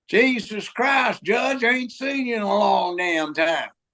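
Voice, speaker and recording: A man puts on a drawling character voice with a Southern accent, pitched high. His intonation is lively and his pace fairly slow. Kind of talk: rough, rural.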